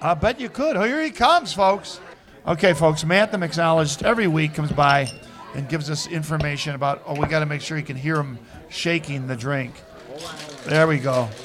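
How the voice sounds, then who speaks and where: A man talks at a fairly quick pace, his pitch fairly high for a man. Noticeable background noise sits under his ordinary pitch variation. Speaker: radio co-host. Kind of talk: radio DJ patter, upbeat live-show banter with plugs and jokes. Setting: live bar venue with audience. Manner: animated; brisk, cheerful, promotional.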